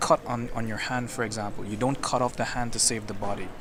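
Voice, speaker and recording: Over noticeable background noise, a man talks at a fairly quick pace. His pitch sits in the medium range. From Caribbean (West Indies). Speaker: interviewee on the street. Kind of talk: street interview. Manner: halting.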